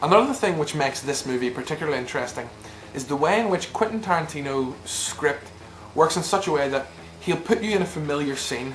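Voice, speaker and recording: Speaking at a very fast pace with lively intonation, a man with a Northern Irish accent has a fairly high pitch, with noticeable background noise behind him. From Northern Ireland. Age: young. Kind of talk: movie review to camera.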